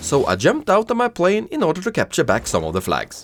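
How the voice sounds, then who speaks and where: A man with a non-native accent, vocal fry, a moderate pace and very wide pitch swings. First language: not English. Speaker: gaming youtuber. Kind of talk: gameplay commentary narration.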